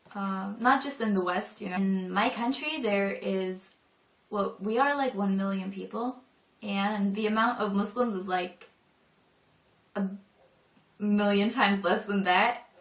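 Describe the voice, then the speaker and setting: The speaker goes at a fairly slow pace with ordinary pitch variation and long, frequent pauses, with noticeable background noise behind. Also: woman. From northern Europe. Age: 20s. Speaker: convert to Islam. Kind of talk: personal testimony. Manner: casual, hesitant with fillers.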